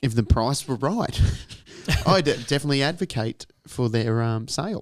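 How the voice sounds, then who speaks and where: Speaking with an Australian accent, a man uses lively intonation. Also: medium pitch for a man, moderate pace. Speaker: podcast co-host. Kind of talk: casual chat. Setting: podcast studio.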